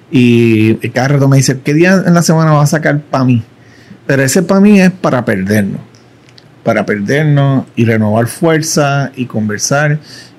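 At a moderate pace, a man with a fairly high pitch uses a plain, everyday voice with lively intonation. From Puerto Rico. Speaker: social media marketing educator. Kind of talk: casual interview chat.

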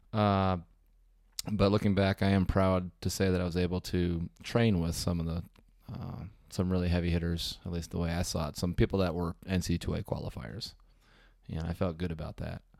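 Very clean and set against a silent background, this recording has a man speaking at a very deep, low pitch. His intonation is fairly even, with long, frequent pauses. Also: moderate pace. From Wisconsin. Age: 30s. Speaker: swim coach. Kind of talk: casual interview.

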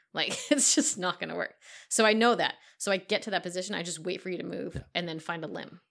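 In a very clean recording with a silent background, a woman talks very fast with vocal fry, ordinary pitch variation and big swings in loudness. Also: medium pitch for a woman. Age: 40s. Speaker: jiu-jitsu coach. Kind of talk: casual chat.

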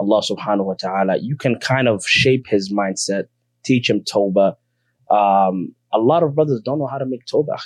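A man with a normal speaking voice and medium pitch talks at a fairly quick pace with ordinary pitch variation, in a dry, close sound with no echo and a quiet background. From South Seattle, US (came from East Africa at about eight). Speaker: Islamic teacher who studied abroad. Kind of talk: interview about his life story.

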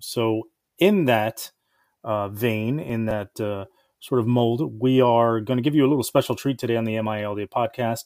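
A man's plain, everyday voice at medium pitch, with fairly even intonation and a fairly slow pace. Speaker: podcast host. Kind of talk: casual intro.

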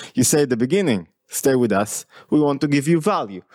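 A man with an Israeli accent, a dark, mellow tone, fairly high pitch and lively intonation. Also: dry, close sound with no echo. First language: Hebrew. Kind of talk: casual interview chat.

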